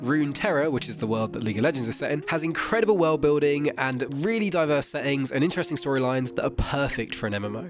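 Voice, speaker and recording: Over music in the background, a man talks at a very fast pace and a fairly high pitch. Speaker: gaming commentator. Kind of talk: video essay narration.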